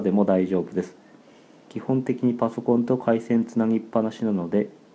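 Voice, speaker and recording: Speaking at a moderate pace, a man with a fairly low pitch has a dark, mellow tone and fairly even intonation. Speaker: animal podcast co-host. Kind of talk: casual chat. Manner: sluggish, low-energy.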